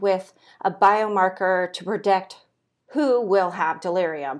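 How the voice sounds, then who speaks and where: A woman with an American accent and a plain, everyday voice, medium in pitch with ordinary pitch variation, at a fairly slow pace, on a very clean recording over a silent background. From California. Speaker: PhD student researcher. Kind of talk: interview.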